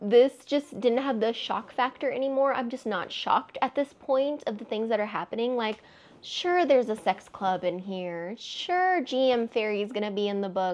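A woman with an American accent talks at a moderate pace and fairly high pitch, her intonation lively and her speech hardly broken by pauses. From Texas. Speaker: book vlogger. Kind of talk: casual monologue to camera. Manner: animated. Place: home room.

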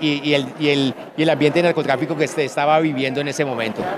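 A man talks at a fairly high pitch in a monotone, flat intonation. The sound is dry with no echo, but noticeable background noise is present. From Colombian Llanos, Villavicencio, Meta. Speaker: writer. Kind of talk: interview. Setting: book fair. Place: hall. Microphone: handheld.

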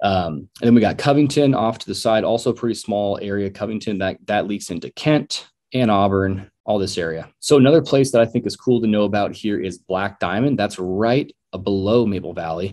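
A man with an American accent, fairly low in pitch, with ordinary pitch variation and hardly any pauses, over a quiet background. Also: moderate pace. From Washington State, King County (Issaquah/Sammamish); Washington. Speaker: real estate agent. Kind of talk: casual video tour narration. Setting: screen-share recording on computer. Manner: rambling. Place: home room.

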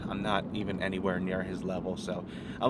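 A man speaks over noticeable background noise, the sound dry with no echo. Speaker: car vlogger. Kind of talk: casual vlog chat. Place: car. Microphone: phone near.

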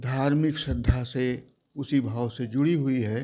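With a dark, mellow tone and fairly even intonation, a man talks at a very slow pace. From Uttar Pradesh, Mirzapur; Uttar Pradesh. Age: 70s. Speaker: journalist and writer; journalist. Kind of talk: interview. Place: home room. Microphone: lapel.

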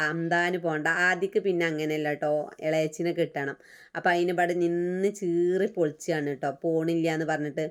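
In a very clean recording with a silent background, a woman speaks at a fairly low pitch with monotone, flat intonation. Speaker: vlogger. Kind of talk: casual vlog narration.

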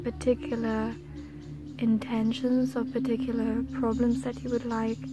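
With clear music in the background, a woman speaks at a moderate pace in a dry recording with no echo. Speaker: energy healing guide. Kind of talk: guided meditation talk. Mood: calm, soothing. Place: garden. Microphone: phone near.

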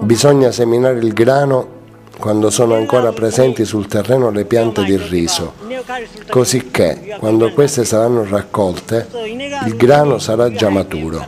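Music plays in the background while a man speaks. He keeps a moderate pace and a medium pitch with ordinary pitch variation. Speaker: voice-over actor. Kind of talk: dubbed first-person voice-over of an interviewee. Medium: dub.

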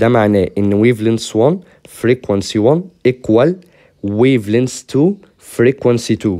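On a very clean recording with a silent background, a man speaks in a dark, mellow tone at medium pitch with very even loudness. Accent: Egyptian. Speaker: physics teacher. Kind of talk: tutorial. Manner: casual, conversational.

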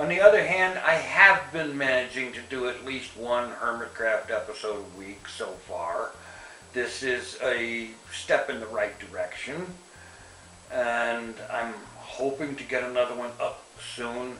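A man at a fairly slow pace with big swings in loudness, plus audible room echo and light background noise. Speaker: vlogger giving an update. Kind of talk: casual vlog chat. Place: home room.

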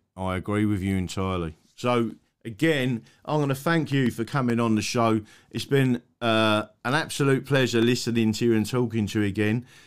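Speaking at a medium pitch with ordinary pitch variation, a man with an English accent keeps a moderate pace over a quiet background. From England. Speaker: online talk show host. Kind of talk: casual interview. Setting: live stream with remote guest. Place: home room. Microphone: studio mic.

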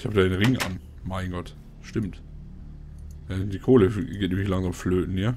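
A man with a very deep, low pitch speaks at a moderate pace. His pitch varies in an ordinary way, with long, frequent pauses. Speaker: gaming YouTuber. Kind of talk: casual commentated gameplay, let's play. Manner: casual, chatty.

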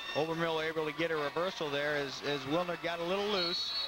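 A high-pitched man at a fairly quick pace, amid noticeable background noise. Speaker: color commentator. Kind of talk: live sports commentary. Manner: animated, quick calls of takedowns and reversals.

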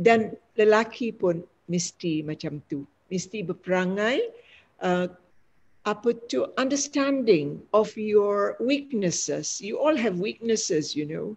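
Against a quiet background, a woman speaks at a very slow pace with lively intonation. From Malaysia, Negeri Sembilan (Linggi); Negeri Sembilan, Malaysia. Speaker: retired lecturer and educator; retired lecturer, educator. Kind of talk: panel discussion. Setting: video call. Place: home room. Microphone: webcam.

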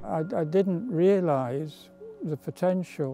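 Music plays in the background as a man talks. His pitch is fairly high, with ordinary variation. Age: 80s+. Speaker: mountain climber and charity fundraiser. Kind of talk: interview answer.

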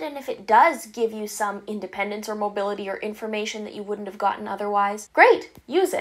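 With a Canadian accent, a woman speaks at a moderate pace and a fairly high pitch. Her intonation is lively, and the background is quiet. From Canada. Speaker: YouTuber with a visual impairment. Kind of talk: vlog monologue. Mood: warm, encouraging. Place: home room.

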